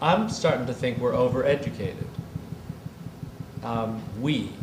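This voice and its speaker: With audible room echo and noticeable background noise, a man talks at a medium pitch and a fairly slow pace, his pitch varying in an ordinary way. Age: 60s. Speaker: design retailer and gallerist. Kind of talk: public conversation before an audience. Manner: animated.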